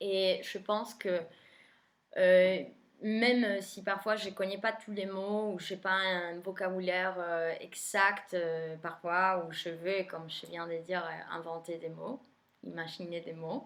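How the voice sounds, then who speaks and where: A woman at medium pitch, very slow, with fairly even intonation and big swings in loudness, on a very clean recording with a silent background. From Argentina. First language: Spanish (speaking French). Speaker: tarot reader. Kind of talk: casual monologue to viewers. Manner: hesitant, many fillers.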